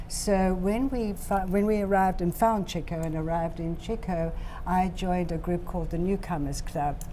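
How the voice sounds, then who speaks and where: Audible room echo accompanies a woman speaking at a medium pitch with a South African accent. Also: ordinary pitch variation, moderate pace. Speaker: hospital volunteer. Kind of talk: TV interview.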